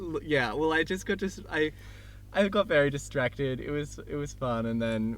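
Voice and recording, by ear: A man talks at a moderate pace with a fairly high pitch, ordinary pitch variation and a fairly bright tone.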